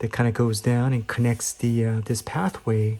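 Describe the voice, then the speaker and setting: A somewhat breathy voice with a dark, mellow tone at a fairly slow pace. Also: man. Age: 50s. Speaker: amateur painter. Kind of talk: casual talk to camera. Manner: hesitant, many fillers.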